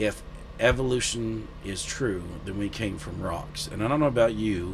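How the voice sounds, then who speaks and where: The speaker has a Southern US accent and ordinary pitch variation. Audible room echo and noticeable background noise are present. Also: man. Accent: Southern drawl. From US South. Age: 30s. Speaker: guest sharing faith testimony. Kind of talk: testimony. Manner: halting.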